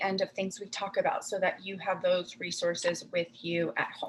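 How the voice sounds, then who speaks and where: A woman talks in a somewhat breathy voice. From Puerto Rico and Miami, Cuban family. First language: Spanish. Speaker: clinical psychologist. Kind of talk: presentation.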